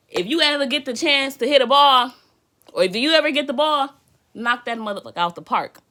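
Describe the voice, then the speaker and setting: A woman talks in a raised, projected voice with a high pitch and a bright, sharp tone. Her delivery is animated, with lively intonation at a fairly quick pace. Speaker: tarot reader. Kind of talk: live tarot reading. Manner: loud.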